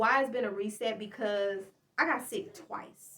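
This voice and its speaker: A woman's voice is heard here. It sits fairly high in pitch. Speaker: podcast host and small business owner. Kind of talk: casual monologue update. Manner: fast.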